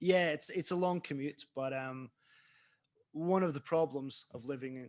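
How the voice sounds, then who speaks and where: A man with a Scottish accent speaks at a moderate pace in a fairly high pitch, showing ordinary pitch variation and big swings in loudness. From Scotland. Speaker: author. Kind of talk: interview. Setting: online event. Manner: casual.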